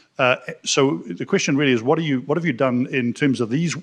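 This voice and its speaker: Fairly quick speech in a New Zealand accent, with ordinary pitch variation and a quiet background. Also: man. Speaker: business community leader, audience questioner. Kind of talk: audience question at panel. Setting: conference room with audience, live stream.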